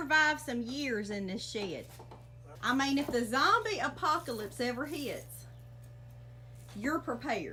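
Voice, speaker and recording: With an American accent, a woman speaks at a fairly slow pace with long, frequent pauses and noticeable background noise. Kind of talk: casual interview host.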